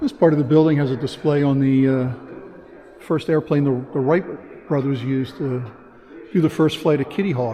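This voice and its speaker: Over noticeable background noise, a man with a fairly high pitch and a relaxed tone talks at a fairly quick pace, using fairly even intonation and long, frequent pauses. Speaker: travel vlogger. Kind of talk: casual vlog tour narration. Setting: walking tour of a transportation museum. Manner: relaxed, with hesitations.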